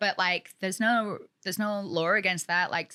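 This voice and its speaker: A woman talks with a British accent in a medium pitch. Her tone is bright and sharp. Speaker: realtor and former model, reality TV personality. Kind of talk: podcast interview. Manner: fast, filler-heavy (like, you know).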